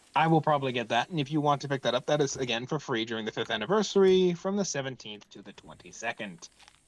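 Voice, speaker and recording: A fairly high male voice, very fast with hardly any pauses, lively intonation and big swings in loudness, over noticeable background noise. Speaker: gaming youtuber. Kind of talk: casual chat.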